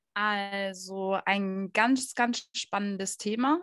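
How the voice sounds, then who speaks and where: The clip has an ordinary speaking voice with fairly even intonation. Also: woman. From Stuttgart, southwestern Germany. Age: 20s. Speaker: dog trainer and behaviour consultant. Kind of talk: interview.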